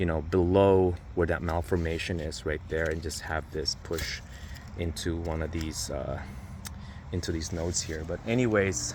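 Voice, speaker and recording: A somewhat breathy man speaks at a very deep, low pitch with ordinary pitch variation. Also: moderate pace. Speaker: home gardener and garden vlogger. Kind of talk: garden tour vlog. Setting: outdoors in a garden. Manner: casual, halting with fillers.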